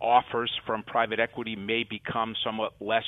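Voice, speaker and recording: A man talks in an unremarkable speaking voice. His pitch is fairly low and his pace moderate. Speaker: law firm partner advising on mergers. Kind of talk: interview.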